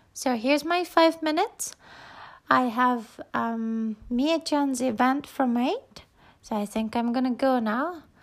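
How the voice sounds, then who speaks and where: A woman speaks at a very slow pace in a high voice with ordinary pitch variation, on a very clean recording with a silent background. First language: Japanese. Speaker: podcaster. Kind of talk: casual solo talk. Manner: halting.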